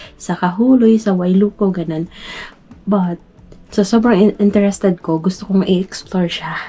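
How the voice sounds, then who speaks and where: A woman talks at medium pitch and a moderate pace. Her intonation is fairly even, with noticeable background noise. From Philippines, Metro Manila. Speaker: vlogger. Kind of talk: vlog narration. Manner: halting; quiet.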